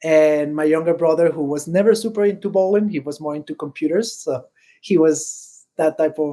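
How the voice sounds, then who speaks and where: A man in a Spanish accent speaks at a moderate pace, his tone dark and mellow and his pitch fairly high. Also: ordinary pitch variation. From Venezuela. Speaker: bowler and bowling industry employee. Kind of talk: podcast interview. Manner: hesitant, many fillers.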